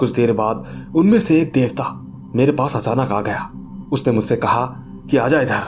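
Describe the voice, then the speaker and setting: Music in the background behind a man's speech, its pitch variation ordinary. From Jammu and Kashmir, India. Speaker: horror story narrator. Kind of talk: reading aloud a listener's horror story; storyteller's outro to viewers.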